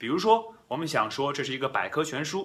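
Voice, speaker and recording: Speaking with a Chinese accent, a man moves through very wide pitch swings. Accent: Chinese-accented English, Mandarin speaker. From China. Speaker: English teacher and podcast host. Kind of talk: bilingual language tutorial. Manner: frequent code-switching between Mandarin and English.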